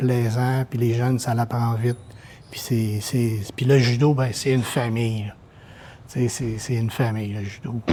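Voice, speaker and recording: A man speaks at a medium pitch in a dark, mellow, somewhat breathy tone. His delivery is fairly slow, with monotone, flat intonation. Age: 60s. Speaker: judo volunteer helper. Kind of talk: interview testimony. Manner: hesitant, repetitive fillers.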